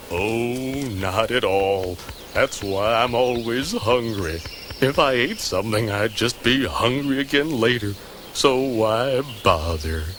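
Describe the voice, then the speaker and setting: A man's cartoonish character voice at medium pitch, fairly slow in pace, over clear background noise. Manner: stuttering.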